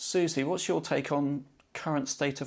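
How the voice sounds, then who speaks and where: A man speaks at a moderate pace with fairly even intonation and a fairly high pitch. It is a normal speaking voice. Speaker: podcast host. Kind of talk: scripted intro and moderated interview.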